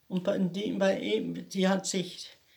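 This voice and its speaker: The woman's voice sits at a medium pitch. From Lake Constance area, southern Germany. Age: 80s+. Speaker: grandmother interviewee. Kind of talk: life story interview. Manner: halting.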